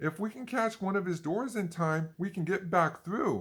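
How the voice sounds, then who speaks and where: A man's put-on character voice with a high pitch. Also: moderate pace. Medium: read story. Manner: nervous.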